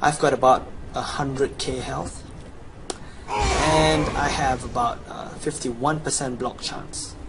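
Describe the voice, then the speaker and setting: With noticeable background noise behind him, a man with a Chinese accent speaks very slowly at a fairly high pitch. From China. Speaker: video game guide presenter. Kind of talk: sales pitch. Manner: animated.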